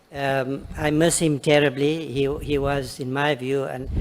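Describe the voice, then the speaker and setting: Fairly slow speech from a man with a fairly high-pitched voice. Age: 60s. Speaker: acting minister testifying before a committee. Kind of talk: parliamentary committee testimony. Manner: halting, many fillers and repetitions.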